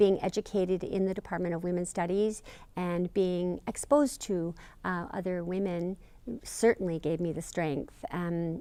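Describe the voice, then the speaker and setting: A woman with a fairly low pitch and a dark, mellow tone talks at a moderate pace with ordinary pitch variation, on a very clean recording with a silent background. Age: 60s. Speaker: interviewee in documentary. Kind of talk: interview testimony. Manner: halting, many fillers.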